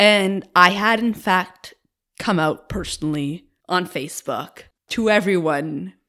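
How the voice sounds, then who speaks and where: Woman speaking at a fairly slow pace, very clean recording with a silent background. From Cape Breton, Nova Scotia (rural). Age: 20s. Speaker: graduate student and queer rights activist. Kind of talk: interview conversation.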